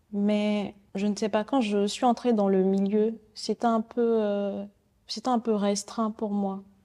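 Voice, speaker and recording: A woman speaks very slowly at a medium pitch in a monotone, flat delivery, her tone dark and mellow and her loudness very even. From Benin, Porto-Novo. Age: 20s. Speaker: painter and art student. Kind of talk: interview conversation. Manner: halting, many hesitations.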